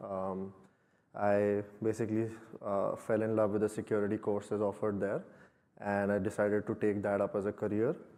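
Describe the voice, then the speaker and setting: In an Indian accent, a man with a dark, mellow tone talks at a fairly quick pace but with long, frequent pauses. His pitch is fairly low and his intonation monotone and flat. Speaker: security engineer. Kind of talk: conference talk.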